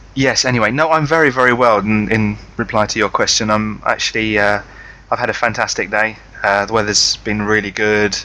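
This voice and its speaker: In a British accent, a man speaks at a fairly quick pace with fairly low pitch, a bright, sharp tone, very even loudness and fairly even intonation. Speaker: podcast co-host. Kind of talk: casual chat. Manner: halting, many fillers.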